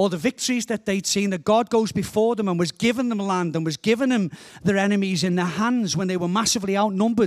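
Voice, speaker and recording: In a Liverpool accent, a man speaks at a fairly quick pace with a high pitch and an animated tone. The sound is dry and close, with no echo. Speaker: guest preacher. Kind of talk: sermon.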